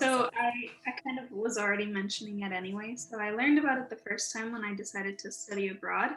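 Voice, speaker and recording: Speaking fairly quickly with a Spanish accent, a woman keeps a fairly high pitch and fairly even intonation over noticeable background noise. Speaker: recent graduate, student panelist. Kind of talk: panel discussion.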